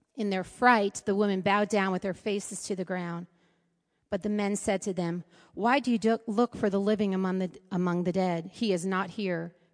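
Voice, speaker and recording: A woman speaks in a plain, everyday voice at a medium pitch and moderate pace. Her intonation is fairly even, over a quiet background. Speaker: scripture reader. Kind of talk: reading aloud.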